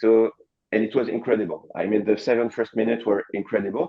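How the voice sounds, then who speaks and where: A man's medium-pitched voice with a French accent. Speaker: coworking space co-founder. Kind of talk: panel discussion. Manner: halting.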